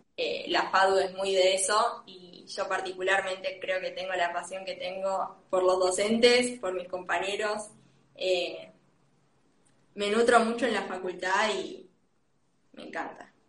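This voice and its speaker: In a Rioplatense accent, a woman of medium pitch speaks with monotone, flat intonation and big swings in loudness, with audible room echo. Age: 20s. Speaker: industrial design student. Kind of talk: interview.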